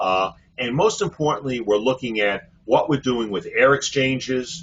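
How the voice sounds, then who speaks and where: He speaks at a moderate pace. The man has an American accent. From Brooklyn, New York City. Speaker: physician and hospital executive. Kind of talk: webinar presentation. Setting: online webinar. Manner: many fillers, uh.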